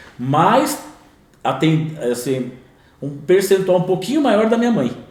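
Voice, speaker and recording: A man at a high pitch with very wide pitch swings and a fairly slow pace, amid audible room echo and noticeable background noise. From interior of São Paulo state, Brazil (Bauru). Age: 50s. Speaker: entrepreneur in construction. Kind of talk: podcast interview.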